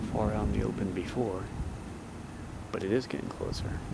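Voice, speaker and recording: A man speaks fairly quickly with lively intonation. Audible room echo and noticeable background noise surround his voice. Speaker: amateur storm videographer. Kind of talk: casual chat. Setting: outdoors. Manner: mumbling.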